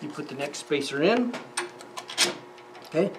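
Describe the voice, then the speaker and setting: Moderate pace amid noticeable background noise. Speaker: woodworking instructor. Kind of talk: tutorial. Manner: casual, halting with fillers.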